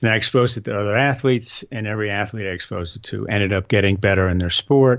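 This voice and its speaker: A man speaks at a very fast pace. His pitch sits fairly low, and his intonation stays fairly even. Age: 60s. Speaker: inventor of balance training system. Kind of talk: casual interview.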